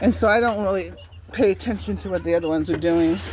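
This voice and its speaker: This woman talks with noticeable noise in the background. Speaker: backyard poultry keeper. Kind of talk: casual vlog while cleaning. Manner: halting.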